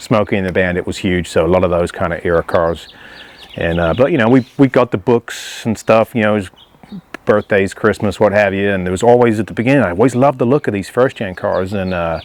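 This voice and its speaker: A man with a fairly low voice talks fairly quickly. His pitch varies in an ordinary way, and noticeable background noise is present. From England. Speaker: classic car owner. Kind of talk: interview monologue about his car. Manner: casual, with frequent fillers.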